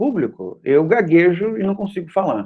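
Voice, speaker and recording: A man's high voice at a moderate pace, with very wide pitch swings. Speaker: university lecturer. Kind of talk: lecture. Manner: hesitant with frequent filler 'é'.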